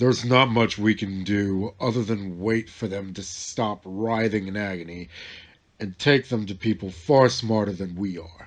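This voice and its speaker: Against a quiet background, a man puts on a booming character voice with a fairly low pitch at a moderate pace. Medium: read story.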